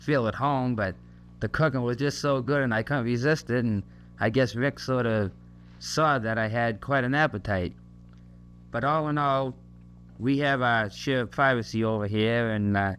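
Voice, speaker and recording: A man with a Massachusetts accent talks at a moderate pace and medium pitch, with ordinary pitch variation, very even loudness, long, frequent pauses and a quiet background. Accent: Massachusetts, Kennedy-like. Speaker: soldier. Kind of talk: recorded message to a family. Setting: home tape recording on an army post. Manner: hesitant, many fillers.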